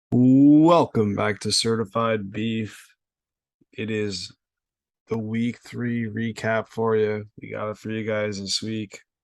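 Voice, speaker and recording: Speaking at a medium pitch, a man moves at a very slow pace with fairly even intonation. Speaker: sports podcast host. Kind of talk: casual chat.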